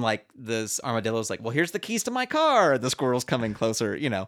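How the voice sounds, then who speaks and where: Speaking at a very fast pace, a man with an American accent uses a medium pitch and ordinary pitch variation. The recording is very clean, the background silent. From US West Coast, San Francisco Bay Area. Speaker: musical comedian and puppeteer. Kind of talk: casual chat.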